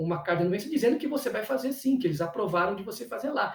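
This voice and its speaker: A man is speaking. His intonation is lively. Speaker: cultural producer and teacher. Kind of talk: lecture. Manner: fast; halting.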